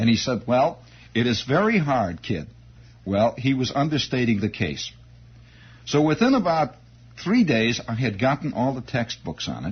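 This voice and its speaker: A man with a medium pitch and vocal fry speaks at a moderate pace, taking long, frequent pauses. His tone is animated and his intonation lively. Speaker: radio host telling a story from his youth. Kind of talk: radio monologue, storytelling anecdote. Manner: conversational, animated.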